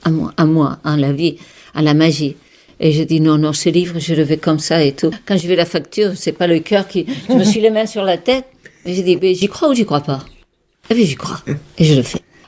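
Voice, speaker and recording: A woman speaks at a moderate pace in a fairly low voice with a dark, mellow tone and ordinary pitch variation. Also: big swings in loudness. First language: Catalan (speaking French). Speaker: holistic therapist and author. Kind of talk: radio interview. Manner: animated; halting.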